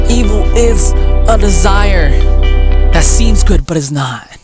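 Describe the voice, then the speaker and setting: A man's voice with music in the background. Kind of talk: spoken word poetry performance.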